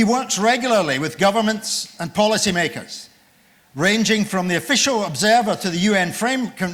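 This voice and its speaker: Loud and high-pitched, a man's voice carries through the clip. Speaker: session chair, professor. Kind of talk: formal speaker introduction. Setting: conference room with audience, on microphone.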